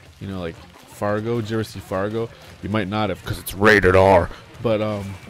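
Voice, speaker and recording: A man speaks at a fairly quick pace with a fairly low pitch and monotone, flat intonation. His loudness swings widely over noticeable background noise. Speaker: streamer. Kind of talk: casual chat.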